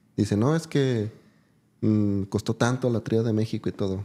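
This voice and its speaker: At a fairly quick pace, a man speaks in a dark, mellow tone with fairly even intonation. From Mexico, Jalisco (Ojuelos); Jalisco. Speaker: gamefowl breeder; podcast guest. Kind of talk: interview. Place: studio. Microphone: studio mic.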